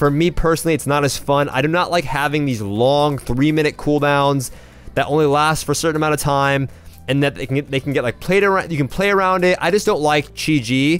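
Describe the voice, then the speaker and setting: Someone talks fairly quickly with music in the background. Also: man, fairly high pitch for a man, ordinary pitch variation. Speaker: gaming video creator. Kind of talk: tutorial. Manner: fast; casual.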